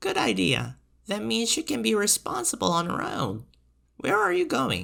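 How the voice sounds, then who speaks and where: Middle-pitched, moderately paced delivery in a put-on character voice. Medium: read story. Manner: brisk, dry humor.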